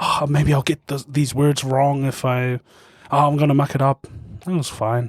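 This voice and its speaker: A man's fairly high, monotone voice at a moderate pace, dry and close with no echo, amid noticeable background noise. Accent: New Zealand. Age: 20s. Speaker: opera singer. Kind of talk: casual chat.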